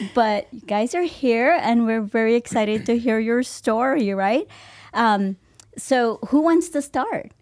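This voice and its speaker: A woman with an unremarkable speaking voice talks at a fairly slow pace, her fairly high pitch varying in an ordinary way, on a very clean recording with a silent background. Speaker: podcast host. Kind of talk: interview. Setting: studio. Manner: warm and effusive.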